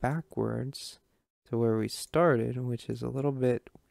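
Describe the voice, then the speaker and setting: A man speaks against a quiet background. The sound is dry, with no echo. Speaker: gamer streamer. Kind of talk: gameplay commentary.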